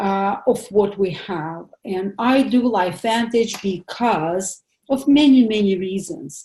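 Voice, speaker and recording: The speaker has a non-native accent and a somewhat breathy, dark, mellow tone. The pace is very slow with hardly any pauses, and the intonation is lively. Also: woman, medium pitch for a woman. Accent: foreign accent, noticeable. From Soviet Union. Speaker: pathologist doctor giving a health seminar. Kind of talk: seminar presentation. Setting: home office, online seminar. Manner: hesitant, many fillers.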